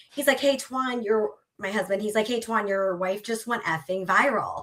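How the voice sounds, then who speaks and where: Bright and sharp in tone, a woman speaks animatedly with an American accent. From Minnesota, US Midwest. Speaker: sports superfan. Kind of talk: casual interview chat. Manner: fast, filler-heavy.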